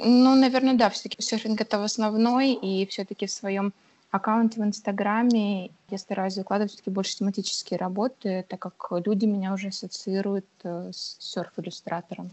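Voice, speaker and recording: With a plain, everyday voice, a woman speaks at a moderate pace, her pitch medium and her intonation fairly even. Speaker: illustrator. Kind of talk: interview. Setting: remote call.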